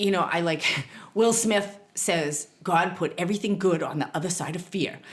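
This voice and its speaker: Woman with a Boston accent, fairly low in pitch, at a fairly slow pace. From Boston, US. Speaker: therapist and spiritual teacher. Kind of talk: podcast interview.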